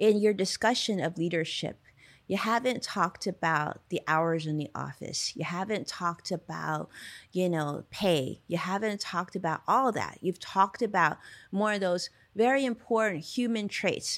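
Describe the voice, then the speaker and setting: Over a very clean recording with a silent background, a woman speaks at a moderate pace with medium pitch and ordinary pitch variation. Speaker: podcast host. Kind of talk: interview conversation. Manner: animated.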